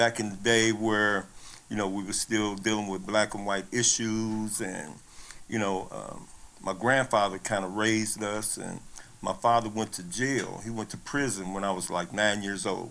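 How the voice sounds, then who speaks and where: The voice has a bright, sharp tone and fairly even intonation, moving at a moderate pace in an American accent. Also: man, fairly low pitch for a man. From Kansas City, Missouri. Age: 60s. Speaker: former athlete. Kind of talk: interview storytelling. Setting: on-camera interview. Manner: hesitant with fillers and repeats.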